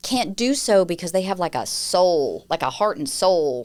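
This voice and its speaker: A woman at a moderate pace with a Southern US accent, on a very clean recording with a silent background. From US South, Nashville, Tennessee. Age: 40s. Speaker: communications firm founder, crisis communication expert. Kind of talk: podcast interview.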